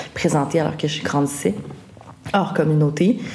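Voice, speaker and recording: Fairly quick pace and fairly even intonation from a woman, amid noticeable background noise. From Quebec, Wendat, raised outside Wendake. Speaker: folk singer-songwriter. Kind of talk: casual interview.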